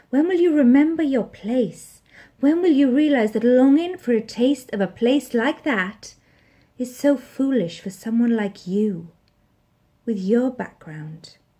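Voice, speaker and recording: A woman speaks with a high pitch and a dark, mellow tone at a fairly slow pace. Her pitch swings very widely over a quiet background. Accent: Welsh. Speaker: actress, spoken word poet. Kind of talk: spoken word poetry performance.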